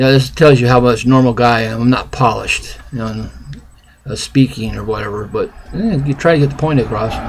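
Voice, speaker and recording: There is noticeable background noise as a man speaks at a moderate pace and a medium pitch. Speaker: independent presidential candidate vlogger. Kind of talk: political opinion monologue. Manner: halting, unpolished.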